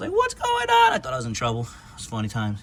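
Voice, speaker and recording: Noticeable background noise sits behind this speaker. A man with an American accent talks at a medium pitch. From Upstate New York. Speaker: car enthusiast YouTuber. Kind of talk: casual show-and-tell walkthrough.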